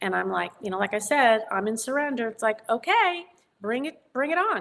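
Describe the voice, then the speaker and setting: A woman with a New York accent speaks at a moderate pace in a fairly high pitch, her voice swinging very widely up and down. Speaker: psychic medium and author. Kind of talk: interview conversation. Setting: studio.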